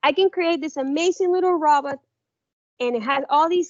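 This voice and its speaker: A woman with a non-native accent. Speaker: workshop presenter. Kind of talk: workshop presentation.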